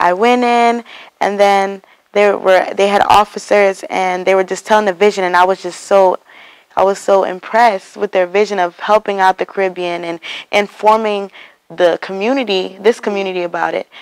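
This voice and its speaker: In an American accent, a woman speaks at a medium pitch and moderate pace, her intonation monotone and flat, the sound dry and close with no echo. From Texas. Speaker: student organization president. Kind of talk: interview. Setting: university campus.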